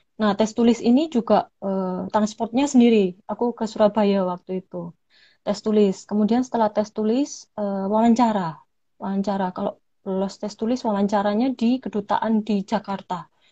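Speaking at a moderate pace over a quiet background, a woman has a fairly high pitch, a dark, mellow tone, fairly even intonation and a somewhat breathy quality. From Malang, East Java, Indonesia. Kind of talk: casual interview.

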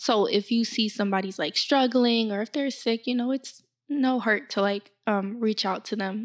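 A woman speaks with a fairly high pitch, ordinary pitch variation, and a plain, everyday voice. She keeps a moderate pace with hardly any pauses, and the recording is very clean with a silent background. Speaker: podcast host. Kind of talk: casual chat.

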